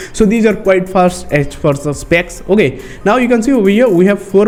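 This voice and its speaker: In an Indian accent, a man talks at a fairly quick pace with ordinary pitch variation and noticeable background noise. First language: Hindi. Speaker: tech YouTuber. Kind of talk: tutorial. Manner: halting.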